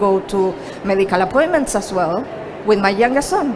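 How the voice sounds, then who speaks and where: With a Chilean accent, a woman speaks at a moderate pace. Noticeable background noise can be heard. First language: Spanish. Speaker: productivity coach. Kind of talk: presentation.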